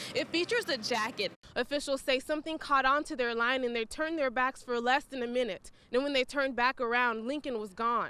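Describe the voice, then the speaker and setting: In a raised, projected voice, a woman with an American accent talks at a fairly quick pace with hardly any pauses, her pitch high and her tone bright and sharp. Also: ordinary pitch variation. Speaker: television news reporter. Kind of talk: TV news reporter delivery.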